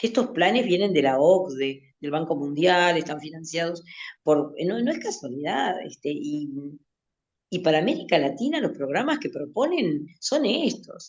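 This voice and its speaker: A woman with a Uruguayan accent, fairly low-pitched with very wide pitch swings, at a fairly slow pace. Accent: Rioplatense Spanish (Uruguayan). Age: 60s. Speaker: literature teacher. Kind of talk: interview. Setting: radio interview, remote studio. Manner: halting, many fillers and restarts.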